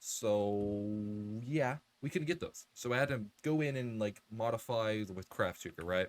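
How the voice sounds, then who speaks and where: This man has a plain, everyday voice. It sits fairly low, with ordinary pitch variation. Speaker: gaming youtuber. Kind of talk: let's play commentary. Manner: casual, rambling with fillers.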